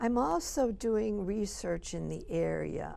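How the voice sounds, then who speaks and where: A woman in an American accent at a very slow pace, with audible room echo. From US Midwest (Illinois, Chicago). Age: 70s. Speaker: retired college president. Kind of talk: TV interview.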